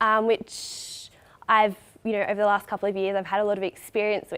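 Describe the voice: A woman talks at a fairly quick pace in a nasal, fairly bright tone.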